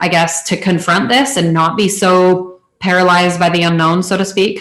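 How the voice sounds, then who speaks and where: A woman talks at a medium pitch and moderate pace in a normal speaking voice. Her loudness stays very even and her intonation fairly even. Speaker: interviewer. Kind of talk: casual interview. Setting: video call.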